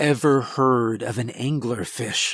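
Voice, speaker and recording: A man's put-on character voice, raspy and medium in pitch, with fairly even intonation at a fairly slow pace. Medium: read story. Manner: curt, cold, scornful.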